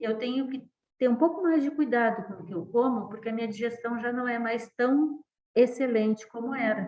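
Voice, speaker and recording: Using an ordinary speaking voice, a woman talks at a moderate pace and a fairly high pitch with ordinary pitch variation and big swings in loudness. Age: 60s. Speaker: professor. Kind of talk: lecture.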